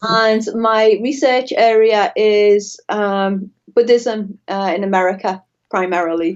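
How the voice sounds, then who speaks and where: Very slowly and with ordinary pitch variation, a woman of medium pitch speaks in a Liverpool accent. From northern England, Liverpool. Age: 40s. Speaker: professor of religious studies. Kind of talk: interview. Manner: hesitant, many fillers.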